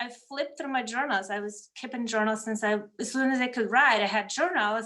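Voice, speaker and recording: At a fairly quick pace, a woman with a Russian accent talks in a fairly high pitch. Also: ordinary pitch variation. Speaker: medium and energy healer. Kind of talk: casual interview chat.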